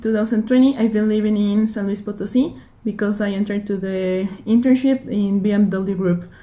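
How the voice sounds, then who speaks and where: A dark, mellow, somewhat breathy tone at a moderate pace with ordinary pitch variation. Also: woman. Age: 20s. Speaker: engineering student and intern. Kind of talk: application video self-introduction. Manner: halting, with fillers.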